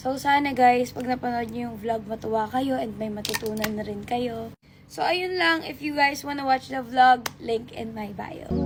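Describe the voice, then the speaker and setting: Against noticeable background noise, the speech moves at a fairly slow pace with ordinary pitch variation and big swings in loudness. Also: woman, high pitch for a woman. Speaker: lifestyle vlogger. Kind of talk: get ready with me vlog chat. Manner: casual, emotional.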